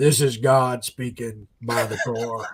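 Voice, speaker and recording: A man performs a put-on character voice at a fairly slow pace, medium in pitch and monotone with flat intonation. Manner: booming, mock-godlike.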